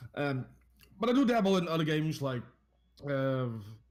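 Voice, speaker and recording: The voice belongs to a man. He has a Dutch accent. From Netherlands. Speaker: variety game streamer. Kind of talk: casual chat.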